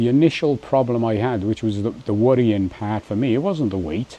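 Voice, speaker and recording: This man has an English accent, a medium pitch and ordinary pitch variation, and speaks at a moderate pace. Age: 60s. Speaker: vlogger. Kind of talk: casual vlog monologue. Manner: hesitant, many fillers and restarts.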